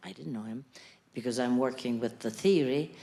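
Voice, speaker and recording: A woman's very deep, low-pitched voice. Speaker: academic researcher. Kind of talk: audience remarks. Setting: stage with audience.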